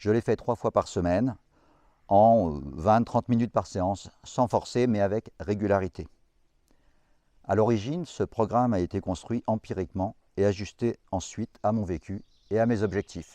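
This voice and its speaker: A man speaks with a dark, mellow tone at a fairly low pitch, with ordinary pitch variation. He leaves long, frequent pauses, and the sound is dry and close with no echo. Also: moderate pace, quiet background. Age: 60s. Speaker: fitness vlogger. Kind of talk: tutorial.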